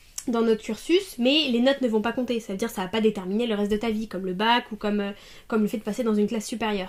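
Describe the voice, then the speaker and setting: At a very fast pace, a woman speaks in a fairly high voice with fairly even intonation. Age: 20s. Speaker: master's student in language teaching. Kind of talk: interview answer.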